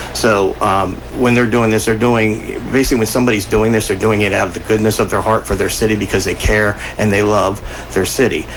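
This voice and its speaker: Noticeable background noise sits behind a man's voice. He speaks at a fairly low pitch with an American accent. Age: 60s. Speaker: city commissioner and radio co-host. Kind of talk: radio talk show. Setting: radio studio. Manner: halting, many fillers.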